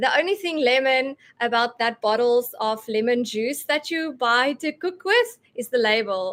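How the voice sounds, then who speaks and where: Speaking at a fairly slow pace with hardly any pauses, a woman uses a high pitch and lively intonation. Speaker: homeschooling mom sharing essential oil tips. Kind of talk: live stream talk. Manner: animated.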